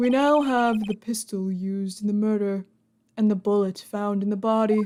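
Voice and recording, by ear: Reading aloud in a natural voice with fairly even intonation, over a quiet background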